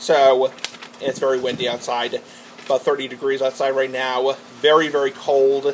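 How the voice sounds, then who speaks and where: A man's medium-pitched voice is heard over noticeable background noise. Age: 20s. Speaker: vlogger. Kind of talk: casual monologue vlog. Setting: garage with door open. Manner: rambling, fast.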